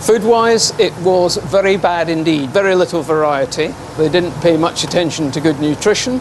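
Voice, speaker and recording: With a slight Scottish accent, a man talks at a moderate pace in a high voice over noticeable background noise. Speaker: naval historian. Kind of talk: interview on location. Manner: formal.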